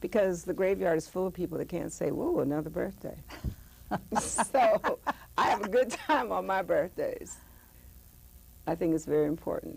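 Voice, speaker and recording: A woman talks at an even, moderate speed while clear background noise can be heard. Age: 70s. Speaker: author and former dancer. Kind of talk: interview. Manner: animated.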